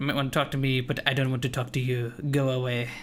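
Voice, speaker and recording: A hissing, put-on character voice from a man at medium pitch, very fast in pace and monotone, with flat intonation. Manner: hissing, hostile, dismissive.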